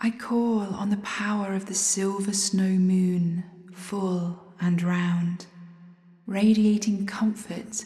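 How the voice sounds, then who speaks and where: Over noticeable background noise, a woman speaks very slowly at a medium pitch in a flat monotone. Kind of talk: fervent spoken prayer to the moon, intimate and devotional. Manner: earnest, reverent, pleading, slow and heartfelt.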